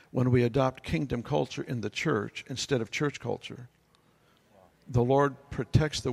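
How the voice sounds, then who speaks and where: The pace is moderate. It is an ordinary speaking voice, with ordinary pitch variation. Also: man. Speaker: pastor. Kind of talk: panel discussion. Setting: stage with audience. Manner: humorous.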